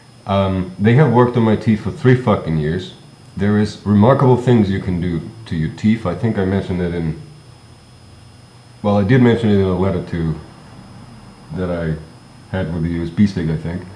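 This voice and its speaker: A man's very deep, low voice at a fairly quick pace, with long, frequent pauses, ordinary pitch variation and noticeable background noise. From Germany. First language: German. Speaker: vlogger. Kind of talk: casual monologue. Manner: halting, many fillers.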